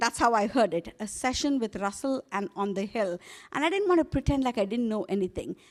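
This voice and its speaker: Speaking in an Indian accent, a woman uses a fairly high pitch, lively intonation and a fairly quick pace. The very clean recording has a silent background and a dry, close sound with no echo. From India, Hyderabad. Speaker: global health executive. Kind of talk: keynote speech.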